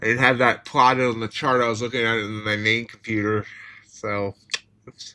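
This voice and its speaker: Speaking fairly quickly with an American accent, a man keeps a medium pitch and a monotone, flat intonation while his loudness swings widely. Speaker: futures trader streamer. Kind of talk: live trading commentary. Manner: casual, halting.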